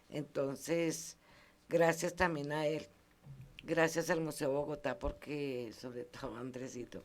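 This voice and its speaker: With fairly even intonation, a woman speaks at a very slow pace in a very deep, low voice. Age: 70s. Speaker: community museum founder, heritage councilor. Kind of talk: radio interview.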